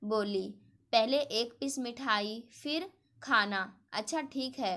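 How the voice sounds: What you hear is a natural reading voice.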